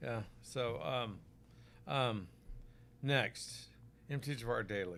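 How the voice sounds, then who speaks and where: Speaking very slowly, a man uses a medium pitch and ordinary pitch variation. He has an American accent, with music playing in the background. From Oklahoma, US. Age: 60s. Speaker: physician selling supplements. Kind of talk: live stream product talk. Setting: live stream on Facebook and YouTube. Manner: casual, conversational.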